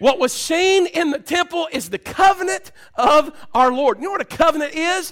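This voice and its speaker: Extremely high in pitch, a man's voice carries lively intonation. He speaks at a moderate pace. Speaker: preacher. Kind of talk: sermon. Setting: church. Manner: excited, loud; animated, exhorting the congregation.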